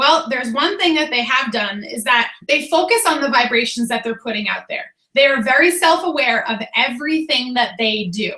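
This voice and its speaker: Speaking with an American accent, a woman uses a high-pitched, raised and projected voice with lively intonation, a moderate pace and hardly any pauses. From Boston, Massachusetts. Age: 30s. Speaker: fitness coach. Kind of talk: motivational team call.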